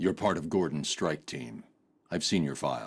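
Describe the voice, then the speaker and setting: In a put-on character voice, a man speaks with a very deep, low pitch. His pace is moderate and his pitch variation ordinary. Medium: video game. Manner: terse, grim.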